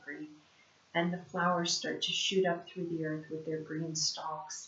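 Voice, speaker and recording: A woman's fairly low voice with an Appalachian accent and audible room echo. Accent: Appalachian country. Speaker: spiritual life coach, card reader. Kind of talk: oracle card reading monologue. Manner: casual, with hesitations.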